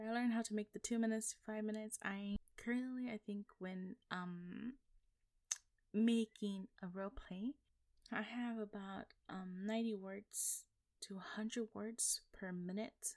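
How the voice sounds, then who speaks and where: A woman with a plain, everyday voice, a fairly high pitch, fairly even intonation and a moderate pace, in a dry, close sound with no echo. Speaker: voice actor. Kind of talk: casual chat.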